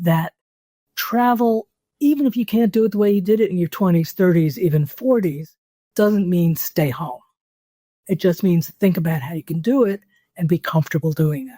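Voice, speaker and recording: In a New York accent, a woman with medium pitch and a somewhat breathy voice speaks at a moderate pace with lively intonation and long, frequent pauses, on a very clean recording with a silent background and a dry, close sound with no echo. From US Northeast, New York City. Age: 70s. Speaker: travel writer. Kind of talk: interview.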